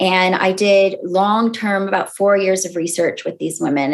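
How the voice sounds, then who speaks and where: A woman speaks with an American accent at medium pitch and ordinary pitch variation. She has an unremarkable speaking voice. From California, US. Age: 30s. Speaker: sociologist and author. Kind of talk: podcast interview.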